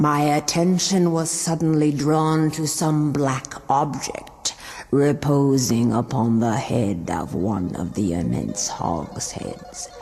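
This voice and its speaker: The voice is low-to-middle in pitch and moves at a fairly slow pace with hardly any pauses. Clear background noise runs underneath. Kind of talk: gothic horror reading. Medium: read story. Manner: measured, somber.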